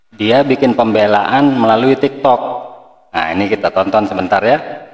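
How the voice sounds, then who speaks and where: An unremarkable speaking voice at a moderate pace with ordinary pitch variation. The loudness stays very even throughout. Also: man, medium pitch for a man. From Indonesia. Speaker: reaction video commentator. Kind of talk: reaction commentary.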